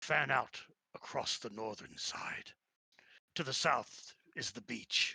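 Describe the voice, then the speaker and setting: In a put-on character voice, a man talks raspily at a fairly slow pace. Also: dry, close sound with no echo. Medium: actual play. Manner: formal, archaic phrasing.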